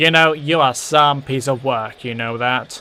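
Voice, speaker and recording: A man puts on a character voice at a medium pitch. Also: moderate pace. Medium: audio drama.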